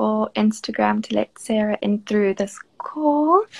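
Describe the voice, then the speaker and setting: A woman with a South African accent talks at a fairly slow pace, in a dry, close sound with no echo. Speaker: marketing manager hosting a live stream. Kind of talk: casual live-stream interview. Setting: Instagram live video call. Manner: animated.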